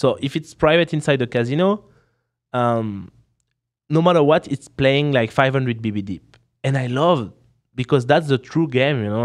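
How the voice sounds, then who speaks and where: With a strong French accent, a man talks at medium pitch and a moderate pace. His pitch variation is ordinary. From France. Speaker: professional poker player and streamer. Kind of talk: casual chat. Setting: podcast in Las Vegas.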